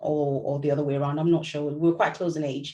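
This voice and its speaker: A woman speaks with a Yoruba accent. Her voice is very deep and low, with a dark, mellow tone. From Nigeria, Lagos. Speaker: novelist. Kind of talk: book club talk. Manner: conversational, with hesitations.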